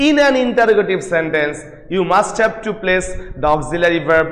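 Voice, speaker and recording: A man's high voice with very wide pitch swings and audible room echo. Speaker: English lecturer. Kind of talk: lecture. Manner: loud; repetitive, emphatic.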